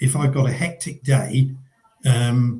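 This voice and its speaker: A man's somewhat breathy, medium-pitched voice with a southern English accent, a dark, mellow tone and fairly even intonation. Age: 60s. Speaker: business owner, coaching client. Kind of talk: interview. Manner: hesitant, many fillers.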